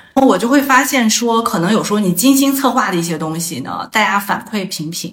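A woman's fairly high voice with lively intonation at a fairly quick pace, over noticeable background noise. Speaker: astrologer, former user research expert. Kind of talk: casual interview chat. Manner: hesitant, many filler sounds.

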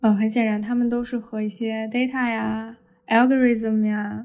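A woman's fairly high, somewhat breathy voice with a dark, mellow tone, monotone, flat intonation and a fairly slow pace. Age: 20s. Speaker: podcast host and media student. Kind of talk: solo podcast monologue.

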